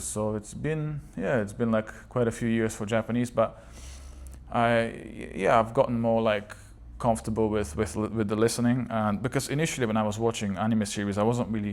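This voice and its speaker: Someone talks at a fairly quick pace in a Bulgarian accent, with ordinary pitch variation. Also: man. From Bulgaria, moved to UK as a child. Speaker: language learning vlogger. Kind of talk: casual vlog monologue. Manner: halting, many fillers and repetitions.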